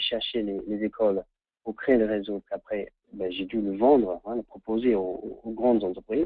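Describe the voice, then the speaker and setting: A man's fairly low, flat, monotone voice. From England. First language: English (speaking French). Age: 30s. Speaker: training consultant. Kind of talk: webinar presentation. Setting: online webinar. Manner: halting, many repetitions.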